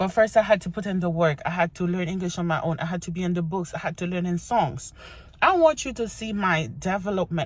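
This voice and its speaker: Vocal fry marks a woman's fairly low voice as she talks at a fairly quick pace with ordinary pitch variation. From Haiti. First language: Haitian Creole. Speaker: vlogger. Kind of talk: casual get-to-know-me vlog. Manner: animated.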